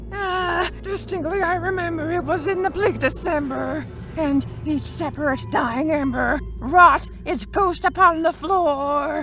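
Over clear background noise, a put-on character voice that sounds female speaks at a fairly slow pace with a high pitch. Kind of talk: poetry reading.

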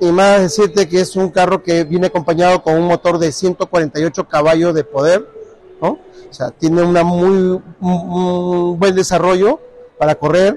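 A man talks at a fairly slow pace with a high pitch and fairly even intonation. There is light background noise, and the sound is dry with no echo. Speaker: car salesman. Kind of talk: sales product presentation. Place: shop. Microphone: phone near.

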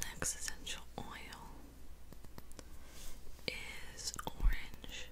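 The woman's delivery is at a very slow pace. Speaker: ASMR creator. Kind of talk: ASMR whispering video. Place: home room. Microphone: studio mic.

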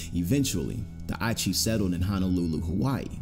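Music in the background behind a man with a very deep, low pitch. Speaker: narrator. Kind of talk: true crime narration.

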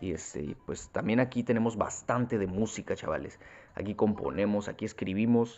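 Speaking at a moderate pace with a Mexican accent, a man uses a fairly low pitch that varies in an ordinary way. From Mexico. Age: 20s. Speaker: gaming youtuber. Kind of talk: gameplay commentary. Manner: casual, improvised.

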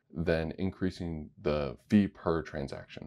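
At a fairly slow pace, a man speaks with a very deep, low pitch, a dark, mellow tone and vocal fry against a quiet background. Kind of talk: tutorial.

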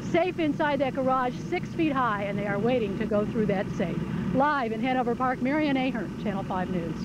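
Loud background noise surrounds a woman speaking at a moderate pace, her voice dry with no echo. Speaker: TV field reporter. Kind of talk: live news report. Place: street.

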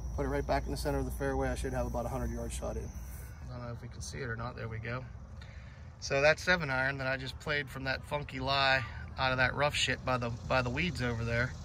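Speaking at a very fast pace with an American accent, a man comes through with a dry sound with no echo and noticeable background noise. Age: 40s. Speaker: YouTuber filming his golf round. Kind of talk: vlog commentary. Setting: outdoors on a golf course. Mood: relaxed, some annoyance. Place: open country. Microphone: phone near.

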